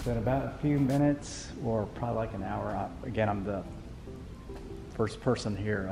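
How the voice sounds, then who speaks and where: A man's fairly low voice at a moderate pace over clear music in the background. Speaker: car buyer vlogger. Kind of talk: casual vlog chat. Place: shop. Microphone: phone near.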